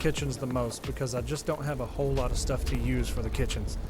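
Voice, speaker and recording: Very fast speech from a man comes with audible room echo and noticeable background noise. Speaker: gaming YouTuber. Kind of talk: tutorial. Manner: casual, hesitant with fillers.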